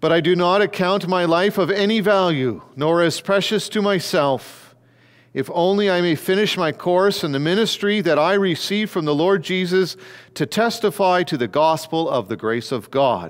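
Against a quiet background, a man with a high pitch talks at a moderate pace. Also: ordinary pitch variation. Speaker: pastor. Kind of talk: scripture reading in a sermon. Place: church. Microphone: headset.

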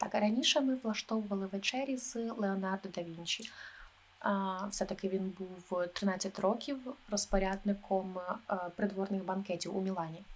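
Using a plain, everyday voice, a woman talks at medium pitch and a moderate pace with ordinary pitch variation. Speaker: travel agent (role-play). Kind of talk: ASMR role-play, soft-spoken talk. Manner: soft-spoken, calm.

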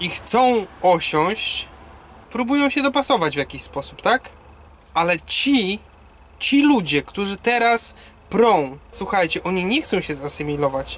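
The man's high voice swings very widely in pitch as he talks fairly slowly. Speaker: truck driver vlogger. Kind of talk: casual vlog chat, opinion. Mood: serious, concerned. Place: car. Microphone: phone near.

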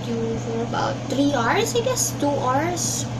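A woman with a Filipino accent at a very slow pace over loud background noise. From Philippines. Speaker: vlogger. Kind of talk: casual vlog monologue. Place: home room. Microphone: webcam.

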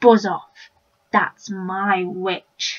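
Growling and croaky, a woman puts on a character voice. Her pitch is medium. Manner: fierce, threatening.

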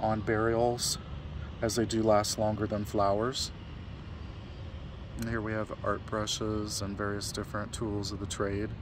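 A man with a fairly low pitch talks at a fairly slow pace, leaving long, frequent pauses, in a monotone, flat intonation. The sound is dry with no echo, though there is noticeable background noise. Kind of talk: tour commentary. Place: open country. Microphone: phone near.

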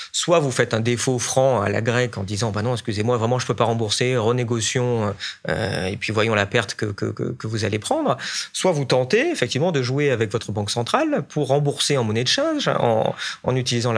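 Fairly quick speech from a man, the background quiet. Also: ordinary pitch variation. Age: 30s. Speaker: economist; interview guest, economic commentator. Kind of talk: panel discussion; interview answer. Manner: animated. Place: meeting room. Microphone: studio mic.

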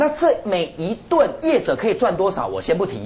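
In an animated tone, a high-pitched man talks at a moderate pace with very wide pitch swings. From Taiwan. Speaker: political commentator. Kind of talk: TV talk show panel. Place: studio.

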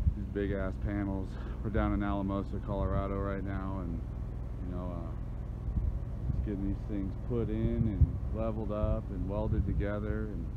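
A man speaks with ordinary pitch variation. Loud background noise runs underneath. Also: moderate pace. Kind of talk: casual vlog chat. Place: open country. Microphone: phone near.

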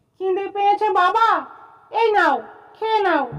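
A put-on character voice, extremely high in pitch and nasal.

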